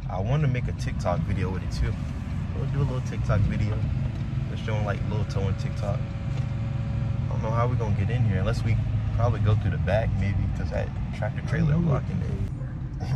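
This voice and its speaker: A man speaks fairly quickly in a dry sound with no echo, loud background noise all around. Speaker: tow truck driver vlogger. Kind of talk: casual vlog chat. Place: car. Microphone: phone near.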